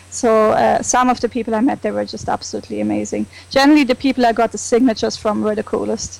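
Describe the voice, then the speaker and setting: A woman speaks with a German accent at a very fast pace. She leaves hardly any pauses. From Germany. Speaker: comic con fan. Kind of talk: casual chat.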